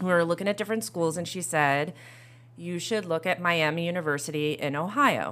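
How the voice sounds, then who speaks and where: A woman with an American accent talks at a fairly quick pace in an unremarkable speaking voice, with fairly low pitch and ordinary pitch variation. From New York State (Orange County, NY). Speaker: school vice principal. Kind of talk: casual chat.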